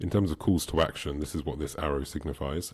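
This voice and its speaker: A man with a very deep, low voice speaks with vocal fry and fairly even intonation. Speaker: online business coach. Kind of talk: tutorial. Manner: fast.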